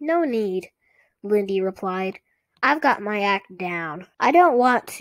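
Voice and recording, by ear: A natural voice reads aloud with lively intonation while the background stays quiet.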